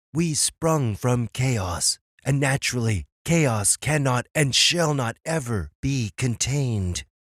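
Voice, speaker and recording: Using a cartoonish character voice, a man of medium pitch speaks at a fairly slow pace in a very clean recording with a silent background. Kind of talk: archaic mythic speech. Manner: solemn, measured.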